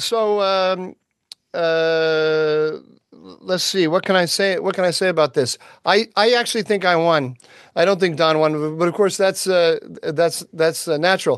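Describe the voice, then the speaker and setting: A high-pitched man's voice with an American accent, fairly slow pace, very even loudness and ordinary pitch variation against a quiet background. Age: 60s. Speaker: podcast co-host, policy analyst. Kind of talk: casual chat. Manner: halting, many ums and restarts.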